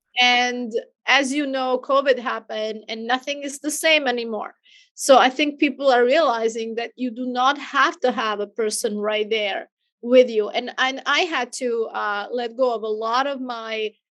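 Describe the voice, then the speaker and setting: A woman with a non-native accent, high pitch, fairly even intonation, and a moderate pace. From outside the US. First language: not English. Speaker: business owner and virtual assistant franchise owner. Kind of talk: podcast interview.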